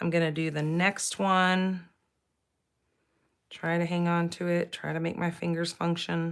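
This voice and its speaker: Against a very clean recording with a silent background, a woman speaks fairly slowly at a fairly low pitch in a monotone, flat intonation, with long, frequent pauses. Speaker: paper crafting instructor. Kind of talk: live tutorial. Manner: casual, chatty.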